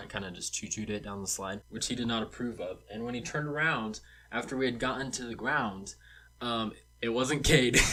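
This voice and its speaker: Talking at a very fast pace, a man sounds animated, with a bright, sharp tone at a medium pitch. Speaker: storytime vlogger. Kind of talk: casual storytelling. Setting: home studio. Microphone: cheap microphone.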